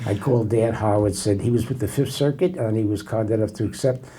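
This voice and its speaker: A man speaks at a fairly quick pace, his dark, mellow tone somewhat breathy. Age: 80s+. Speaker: federal judge. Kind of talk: casual interview.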